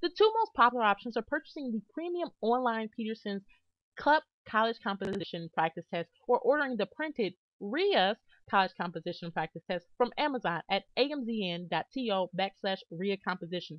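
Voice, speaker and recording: Her pitch is fairly high, and it swings very widely. This woman keeps a fairly quick pace. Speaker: test prep tutor. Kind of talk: tutorial. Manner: fast.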